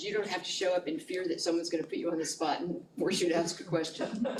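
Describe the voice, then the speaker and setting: A woman talks at a very fast pace. Audible room echo and noticeable background noise surround her voice. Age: 70s. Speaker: community organizer presenting to a church group. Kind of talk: informal presentation at church coffee talk.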